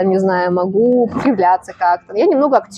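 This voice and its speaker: A woman talks with ordinary pitch variation. Noticeable background noise can be heard. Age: 20s. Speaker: bartender. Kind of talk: casual chat.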